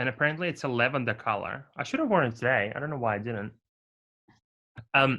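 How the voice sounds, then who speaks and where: With a non-native accent, a man talks very fast at a medium pitch with ordinary pitch variation and long, frequent pauses. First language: not English. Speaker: podcast co-host. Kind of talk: casual chat.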